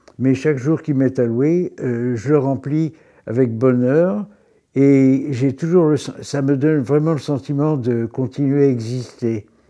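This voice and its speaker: Speaking very slowly, a man with a dark, mellow tone keeps to medium pitch and fairly even intonation. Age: 80s+. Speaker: retiree. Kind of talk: interview. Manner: halting.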